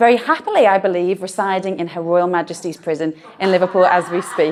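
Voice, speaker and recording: The speaker talks at a fairly quick pace with a Merseyside accent. The tone is animated. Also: woman. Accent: northern English (Merseyside). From northern England, Birkenhead. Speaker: doctor and talk speaker. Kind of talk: live talk to an audience. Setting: stage with audience.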